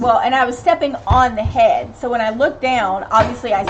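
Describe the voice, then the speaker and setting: Lively intonation at a moderate pace in an American accent, with music in the background. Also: woman. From US South, Tennessee (Knoxville). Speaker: family channel live streamer, parent. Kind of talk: casual live stream chat reading comments.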